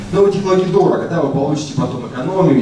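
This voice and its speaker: A man talks at a very fast pace. Room echo is audible, along with light background noise. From Russia. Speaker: university researcher, speaker. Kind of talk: conference talk with slides. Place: hall.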